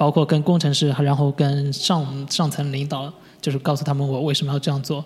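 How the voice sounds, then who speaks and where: A somewhat breathy voice speaks at a fairly quick pace with flat, monotone intonation. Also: man, fairly high pitch for a man. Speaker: UI designer. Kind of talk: interview. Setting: studio. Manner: halting, many fillers.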